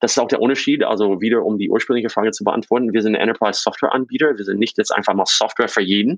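The sound is dry and close, with no echo. A man talks very fast at a medium pitch. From US East Coast, born in Czechoslovakia. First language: English (Slovak as a small child) (speaking German). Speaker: fintech founder. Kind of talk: interview. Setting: remote call.

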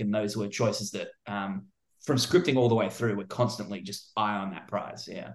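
Talking at a fairly quick pace, a man with an Australian accent keeps a fairly low pitch and makes big swings in loudness. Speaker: film director. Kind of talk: interview.

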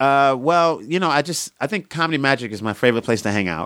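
Talking at a fairly quick pace, a man with a Brooklyn accent uses lively intonation. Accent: New York (Brooklyn). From Coney Island, Brooklyn, New York. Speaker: stand-up comedian. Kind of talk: casual interview chat.

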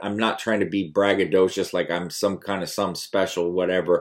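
A man speaks at a moderate pace with an unremarkable speaking voice. His pitch sits fairly low. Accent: American. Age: 30s. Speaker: YouTuber and fitness coach. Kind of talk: casual vlog monologue.

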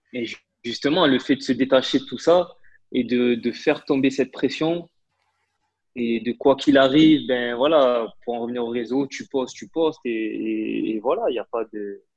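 A man talks at a moderate pace and medium pitch with ordinary pitch variation. His loudness swings widely. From Marseille, southern France. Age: 20s. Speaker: interpreter. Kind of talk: casual interview conversation. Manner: hesitant, many fillers and repetitions.

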